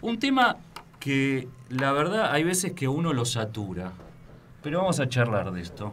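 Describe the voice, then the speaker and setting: The voice moves through very wide pitch swings at a fairly slow pace, broken by long, frequent pauses, with noticeable background noise and audible room echo. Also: man, fairly high pitch for a man. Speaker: radio host. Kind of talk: casual chat.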